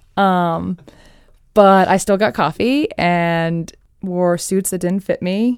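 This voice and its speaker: Ordinary pitch variation shapes a woman's medium-pitched voice. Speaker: TV and documentary producer. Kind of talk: casual interview. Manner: fast.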